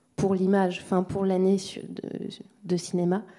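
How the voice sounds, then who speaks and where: A woman's voice of medium pitch carries a dark, mellow tone. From Mayotte. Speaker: sound documentary maker. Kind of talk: round table discussion.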